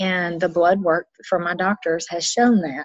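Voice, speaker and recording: A woman at a medium pitch with a Southern US accent. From US South. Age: 50s. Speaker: nutrition business owner. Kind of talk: interview.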